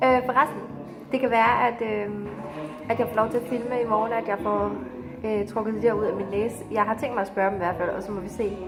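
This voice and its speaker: With music in the background and audible room echo, a woman speaks. Her voice is fairly high-pitched and her pace moderate. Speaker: vlogger. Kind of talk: casual video diary. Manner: hesitant with many fillers.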